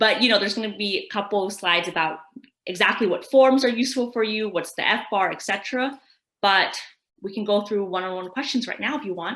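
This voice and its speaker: A woman with a West Coast accent at a very fast pace. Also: medium pitch for a woman, ordinary pitch variation. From California. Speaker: tax expert presenter. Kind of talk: webinar Q&A. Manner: casual, conversational.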